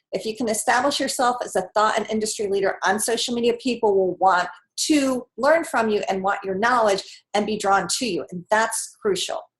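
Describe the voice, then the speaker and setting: This woman's voice sits fairly high and shows ordinary pitch variation. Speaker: social media marketing coach. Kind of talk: webinar presentation. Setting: online webinar. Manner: fast; casual, chatty.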